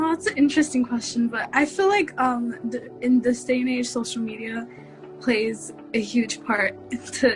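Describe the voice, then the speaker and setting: Against music in the background, a woman speaks at a moderate pace in a fairly high pitch with ordinary pitch variation. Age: young. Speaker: college student. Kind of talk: interview answer.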